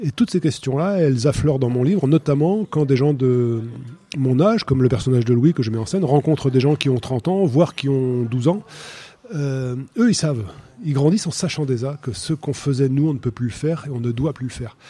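A man with a fairly high voice and a dark, mellow tone. He sounds somewhat breathy and talks at a fairly quick pace. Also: ordinary pitch variation. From France, Loire valley. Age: 50s. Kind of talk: radio interview.

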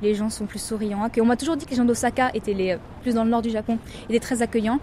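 Speech comes at a very fast pace with fairly even intonation. Noticeable background noise runs underneath. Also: woman. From Paris region, France. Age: young. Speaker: French expatriate, tourism website worker. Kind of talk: casual interview.

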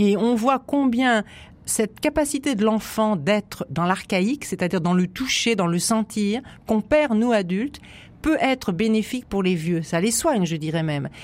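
On a very clean recording with a silent background, a woman speaks at a moderate pace and a fairly high pitch, her loudness very even while her pitch swings very widely. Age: 60s. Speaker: psychoanalyst and author. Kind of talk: radio interview. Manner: animated.

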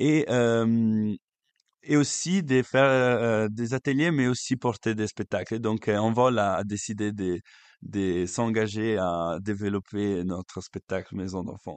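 A man with an Italian accent, fairly low in pitch, at a very slow pace and with ordinary pitch variation. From Italy, Lake Como. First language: Italian (speaking French). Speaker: youth worker and actor. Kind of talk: interview. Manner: halting.

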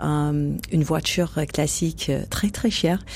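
A woman with an American accent. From United States. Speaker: jazz singer. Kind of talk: interview. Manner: halting.

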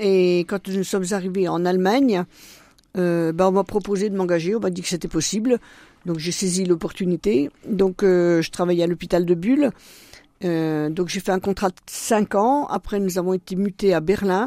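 A woman's medium-pitched voice, dark and mellow in tone, with a dry, close sound and no echo. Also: ordinary pitch variation, moderate pace. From eastern France, Doubs (Franche-Comté). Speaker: deacon's wife. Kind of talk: radio interview.

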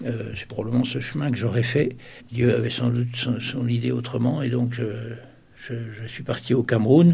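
There is audible room echo around a man's dark, mellow voice, which has vocal fry, a medium pitch and a moderate pace. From Sarthe, western France. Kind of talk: interview testimony. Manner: hesitant, many repetitions.

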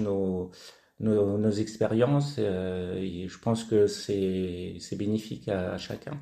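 At a very slow pace, the voice has a dark, mellow tone and ordinary pitch variation. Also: man. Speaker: fruit juice artisan. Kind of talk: radio interview. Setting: in his basement workshop. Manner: halting, repeats words.

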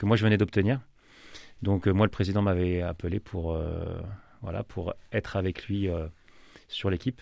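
On a very clean recording with a silent background, a man with a fairly low pitch and a dark, mellow tone speaks at a moderate pace with fairly even intonation and long, frequent pauses. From France, Loiret (grew up there from young age). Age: 30s. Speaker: football coach. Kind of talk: radio interview. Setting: radio studio. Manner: hesitant, many fillers.

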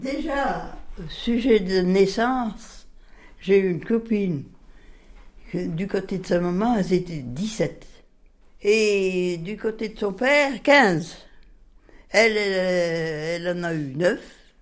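In a room with audible echo, a woman at medium pitch speaks at a very slow pace with long, frequent pauses, lively intonation and big swings in loudness. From France, Bresse (Viriat, Ain). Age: 80s+. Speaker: retired farmer. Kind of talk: interview. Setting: home kitchen.

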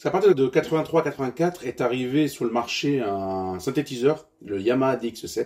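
The tone is dark and mellow. A man talks at a fairly slow pace. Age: 40s. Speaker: funk vinyl collector, former mobile DJ. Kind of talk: radio interview. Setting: at his home. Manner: halting.

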